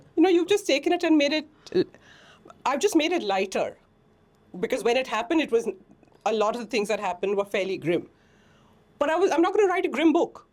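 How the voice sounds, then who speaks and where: Over noticeable background noise, a woman talks very fast at a high pitch, with very wide pitch swings and long, frequent pauses. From India, Mumbai. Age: 60s. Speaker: author and organic farmer. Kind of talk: interview. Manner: animated.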